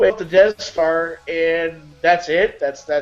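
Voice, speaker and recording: Over music in the background, a man speaks in a high pitch with an excited, enthusiastic tone. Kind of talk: casual talk show banter.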